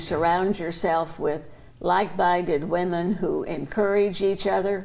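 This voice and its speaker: A woman's fairly low voice, fairly slow and fairly even in intonation, with audible room echo. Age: 80s+. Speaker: longtime association member. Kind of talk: interview answer.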